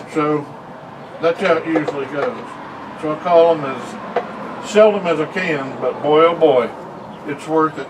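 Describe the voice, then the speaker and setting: Fairly slow speech from a man with an American accent, fairly high-pitched with ordinary pitch variation, long and frequent pauses, and noticeable background noise. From US South. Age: 60s. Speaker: pipe smoker vlogger. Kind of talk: casual chat.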